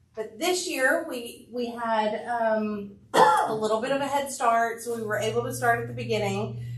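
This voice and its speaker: Speech moves at a moderate pace with hardly any pauses, carrying audible room echo and noticeable background noise. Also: woman. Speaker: school administrator. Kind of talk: public meeting remarks. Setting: school board meeting with PA mic. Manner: loud.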